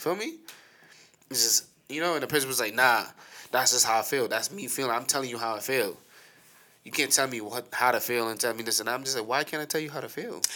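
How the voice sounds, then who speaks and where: A man speaks loudly at a very fast pace and medium pitch, with a bright, sharp tone and ordinary pitch variation. His talk is broken by long, frequent pauses. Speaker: co-host. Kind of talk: casual chat.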